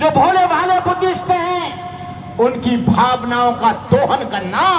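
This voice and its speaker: Lively intonation marks this man's speech, heard with noticeable background noise and audible room echo. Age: 70s. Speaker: Buddhist monk. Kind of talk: speech at protest rally. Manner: impassioned.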